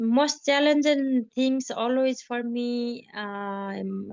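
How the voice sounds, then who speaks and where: A woman with a Nepali accent speaks at a high pitch with fairly even intonation. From Nepal, Mugu district. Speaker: trekking guide. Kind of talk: interview testimony. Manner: halting.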